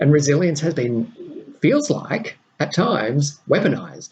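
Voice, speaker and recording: A man with an Australian accent, fairly high in pitch, at a fairly slow pace. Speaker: podcast host and mentor to diplomats. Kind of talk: solo podcast monologue.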